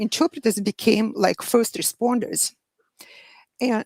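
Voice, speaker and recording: A woman speaks at a fairly slow pace with a Russian accent and vocal fry. The sound is dry and close, with no echo. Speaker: medical interpreter. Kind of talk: panel discussion. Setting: live online show.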